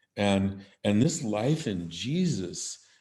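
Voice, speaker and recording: Using a normal speaking voice, a man with a fairly low pitch talks with lively intonation. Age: 60s. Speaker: business CEO and podcaster. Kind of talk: casual interview chat.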